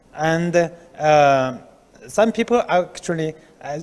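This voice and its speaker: With a Chinese accent, a man speaks at a fairly high pitch using lively intonation. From China. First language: Mandarin Chinese. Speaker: research institute director. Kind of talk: interview. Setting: on location. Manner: halting. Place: office. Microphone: handheld.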